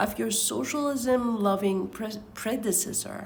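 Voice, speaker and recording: With a non-native accent, a woman of medium pitch speaks at a very slow pace, with audible room echo and noticeable background noise. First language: not English. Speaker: book reader vlogger. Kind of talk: casual chat and reading aloud. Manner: halting, stumbling over words.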